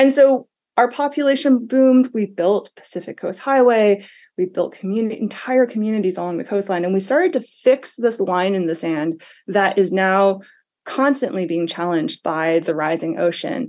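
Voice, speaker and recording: A woman with an American accent uses an unremarkable speaking voice at a medium pitch and a moderate pace. Her intonation is lively, and the background is quiet. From Massachusetts. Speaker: environment reporter and author. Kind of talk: radio interview.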